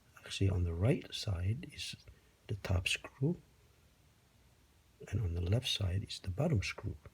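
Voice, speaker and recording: A man talks at a fairly slow pace in a fairly low, somewhat breathy voice. His intonation is lively, with long, frequent pauses. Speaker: DIY video maker. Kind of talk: tutorial.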